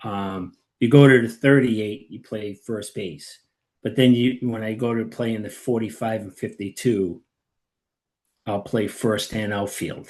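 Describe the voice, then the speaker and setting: Speaking at a fairly slow pace, a man has a medium pitch and fairly even intonation. His loudness swings a lot. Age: 60s. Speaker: amateur baseball player. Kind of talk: interview. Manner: hesitant, filler-heavy.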